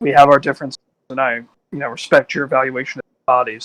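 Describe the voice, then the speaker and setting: A man puts on a raspy character voice at medium pitch, racing at a very fast pace in a monotone, flat intonation with a dry, close sound and no echo. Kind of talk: in-character tabletop roleplay. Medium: actual play. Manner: questioning, casual.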